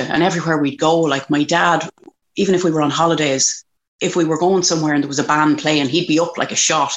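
A woman with an Irish accent, very fast delivery, a very deep, low pitch, and very even loudness throughout. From Ireland, County Kildare. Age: 40s. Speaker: country music singer. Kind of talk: casual chat.

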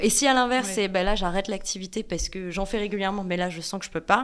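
A woman with a plain, everyday voice speaks at a fairly quick pace, medium in pitch with ordinary pitch variation. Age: 20s. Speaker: content creator. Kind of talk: casual chat.

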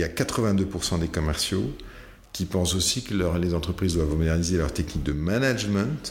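There is audible room echo as a man talks at a fairly slow pace with lively intonation. His very deep, low voice carries vocal fry. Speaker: company founder and CEO, sales expert. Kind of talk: casual interview. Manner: hesitant, many fillers and repetitions.

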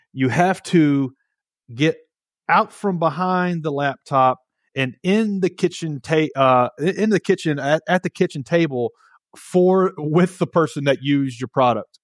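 A man with a Southern US accent speaks at a fairly slow pace in a fairly high voice with ordinary pitch variation. The recording is very clean with a silent background and a dry, close sound with no echo. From Nashville, Tennessee. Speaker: entrepreneur, company co-founder. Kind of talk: interview. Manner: halting, frequent repetitions.

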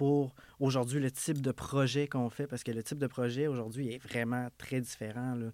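The recording is very clean and the background silent. A man speaks at a medium pitch in a monotone, flat way. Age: 30s. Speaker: painting business owner. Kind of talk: casual interview. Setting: studio.

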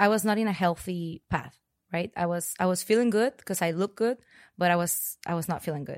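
In a Spanish accent, a woman speaks at a moderate pace and medium pitch with fairly even intonation. The recording is very clean with a silent background and a dry, close sound with no echo. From Mexico (Monterrey). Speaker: fitness client. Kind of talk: interview. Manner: hesitant, many fillers.

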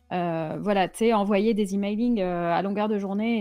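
Music plays in the background. The delivery is moderately paced, with fairly even intonation. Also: woman. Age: 40s. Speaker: Twitch streamer. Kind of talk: casual chat.

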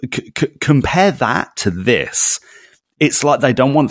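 Very wide pitch swings and vocal fry in a man's speech. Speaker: podcast co-host. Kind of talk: casual chat. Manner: animated.

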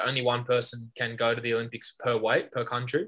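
In an Australian accent, a man speaks at a medium pitch with a bright, sharp tone. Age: 20s. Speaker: judo Olympian. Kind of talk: casual interview.

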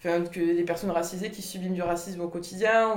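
Flat, monotone delivery in an echoing room, with noticeable background noise. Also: woman. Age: 20s. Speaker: young Basque interviewee. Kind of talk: documentary interview testimony.

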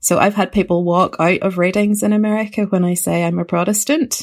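In a Northern Irish accent, a woman speaks at a medium pitch. The recording is very clean, with a silent background. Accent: Northern Irish, County Antrim. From Northern Ireland, Ballymena. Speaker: writer. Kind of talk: interview.

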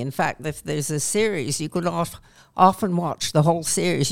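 At a moderate pace, a woman with a Canadian accent speaks in a very deep, low voice with vocal fry. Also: very clean recording, silent background. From Canada. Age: 70s. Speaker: retired panelist. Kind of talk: casual panel discussion. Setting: studio.

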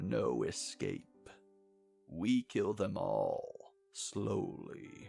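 Over faint music in the background, a man in a put-on character voice speaks at a very slow pace. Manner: menacing.

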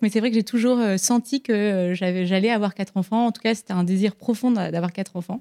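A woman's fairly high-pitched voice with a dark, mellow tone, ordinary pitch variation and a moderate pace, in a dry, close sound with no echo. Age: 30s. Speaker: business founder. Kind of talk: live interview. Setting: stage with audience.

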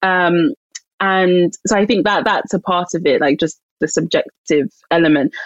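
Woman with a London accent, medium pitch and lively intonation. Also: moderate pace, very even loudness, dry, close sound with no echo. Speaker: author and publisher. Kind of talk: interview.

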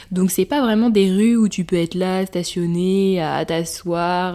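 A woman speaks at a fairly slow pace in a medium pitch, her dark, mellow tone and ordinary pitch variation captured in a very clean recording with a silent background. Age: 20s. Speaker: podcaster and intern. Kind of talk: casual monologue. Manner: animated.

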